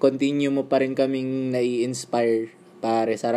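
A man at a medium pitch and a fairly slow pace, with fairly even intonation, in a very clean recording with a silent background. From Philippines. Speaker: podcast host, tattoo artist. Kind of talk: casual interview.

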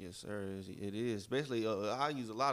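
At a fairly quick pace, a man with a plain, everyday voice talks at a medium pitch. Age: 20s. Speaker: podcast co-host, entrepreneur. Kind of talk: casual chat.

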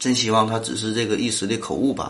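A man with a Northeastern Chinese accent is heard through audible room echo and noticeable background noise. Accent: Northeastern Mandarin. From Northeast China. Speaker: podcast host. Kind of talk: solo science podcast. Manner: casual, filler-heavy.

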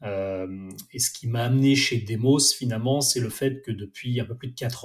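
Very slowly, a man speaks at medium pitch in a somewhat breathy voice with ordinary pitch variation. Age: 40s. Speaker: director of innovation at a training company. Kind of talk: casual interview. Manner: hesitant, many fillers.

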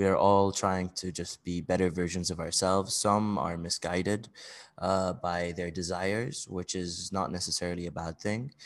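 Over a quiet background, a man with a very deep, low pitch speaks at a moderate pace. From Bahrain. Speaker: podcast host. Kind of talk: solo podcast monologue. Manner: halting, many fillers.

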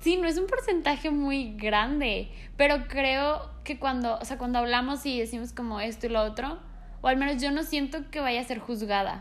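With audible room echo, a woman talks at a moderate pace in a high pitch with ordinary pitch variation. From Mexico. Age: 20s. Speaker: podcast co-host. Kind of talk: casual chat. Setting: no studio, ambient sounds.

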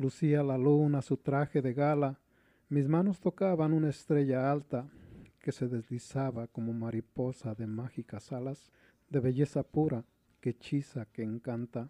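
A man's medium-pitched, dark, mellow voice in a Mexico City accent, at a fairly slow pace, with dry, close sound, no echo and a quiet background. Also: ordinary pitch variation. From Mexico City (Iztapalapa). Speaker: poet and painter. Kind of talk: poetry reading.

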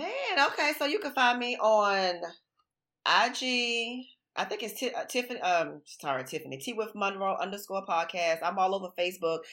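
With an American accent, the speaker has a bright, sharp tone and very wide pitch swings at a moderate pace, in a very clean recording over a silent background. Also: woman, medium pitch for a woman. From Florida. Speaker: relationship podcaster. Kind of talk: casual interview.

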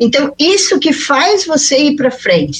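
Her voice is high for a woman and moves in very wide pitch swings. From western Santa Catarina, Brazil. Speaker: mentor and speaker. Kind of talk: radio interview.

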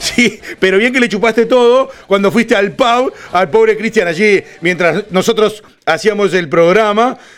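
Over noticeable background noise, a man with a high pitch and animated tone speaks at a fairly slow pace, with very even loudness and ordinary pitch variation. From Uruguay (Florida department). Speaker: radio host. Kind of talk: casual chat.

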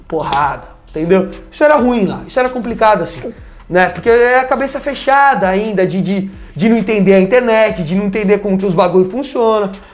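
A man's high voice at a fairly quick pace, ordinary pitch variation, noticeable background noise and audible room echo. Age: 20s. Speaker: former TV sports reporter. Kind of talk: casual interview. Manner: halting, repetitive.

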